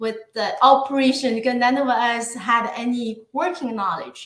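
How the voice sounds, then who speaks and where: A woman speaks with a Chinese accent at a high pitch. Her pace is moderate. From northeast China. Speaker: guest on a live show. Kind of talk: casual interview. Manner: halting.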